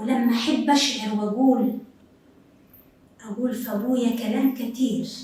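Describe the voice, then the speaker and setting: Long, frequent pauses break up a woman's high-pitched, flat monotone, with audible room echo around her. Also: fairly slow pace. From Upper Egypt. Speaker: TV presenter. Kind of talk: TV talk show monologue.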